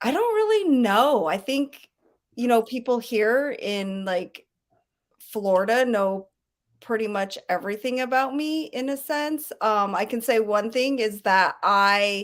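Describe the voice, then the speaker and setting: In a very clean recording with a silent background, a woman with an American accent speaks at a fairly high pitch with ordinary pitch variation. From Colorado, Denver. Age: 40s. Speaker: recovery center alumna and staff member. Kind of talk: interview testimony. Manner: hesitant, many ums.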